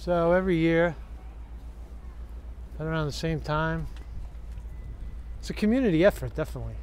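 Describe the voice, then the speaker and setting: A man talks at a very fast pace, his voice dry with no echo over light background noise. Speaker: vlogger. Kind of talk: casual vlog chat. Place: street. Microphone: phone near.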